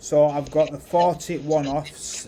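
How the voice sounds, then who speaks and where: This is a man speaking. He has a British accent. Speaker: artist and NFT project founder. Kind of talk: casual chat while drawing on livestream. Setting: Discord voice call livestream. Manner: mumbling, talking to himself.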